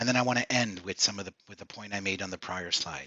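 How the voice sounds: A man's fairly low voice, bright and sharp in tone, at a fast pace with ordinary pitch variation.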